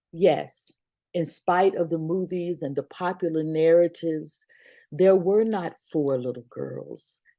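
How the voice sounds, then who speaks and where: A woman's fairly low, dark, mellow voice at a fairly slow pace, with fairly even intonation against a quiet background. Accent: American. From US South, Birmingham, Alabama. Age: 60s. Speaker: pastor. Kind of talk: reflection talk.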